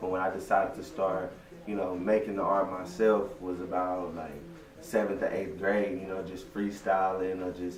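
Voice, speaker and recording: Amid noticeable background noise and audible room echo, a man speaks at a moderate pace in a very deep, low pitch with monotone, flat intonation. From Texas (Waco), born in Louisiana. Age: 20s. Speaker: rapper. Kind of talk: interview. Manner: casual, laid-back.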